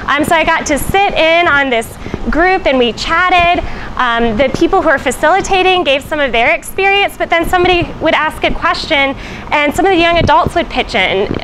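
Very even loudness and ordinary pitch variation over noticeable background noise. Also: woman, extremely high pitch for a woman, moderate pace. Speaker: church missionary reporting. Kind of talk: casual report to camera. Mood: cheerful, smiling. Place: street. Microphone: lapel.

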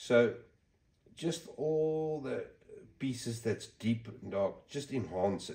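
Somewhat breathy and dark, mellow in tone, a man speaks at a very slow pace with big swings in loudness. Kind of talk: tutorial. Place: workshop. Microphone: phone near.

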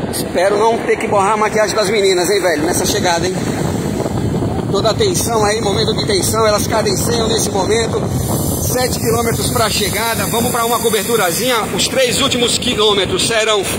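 Loud background noise surrounds the recording. A man speaks over it at a fairly quick pace. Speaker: cycling commentator filming from motorbike. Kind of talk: live sports commentary. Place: motorbike.

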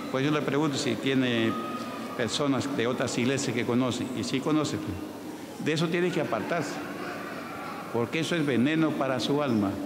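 Long, frequent pauses break up speech at a moderate pace, with noticeable background noise. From Peru. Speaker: pastor. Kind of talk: church healing testimonies. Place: church. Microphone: handheld.

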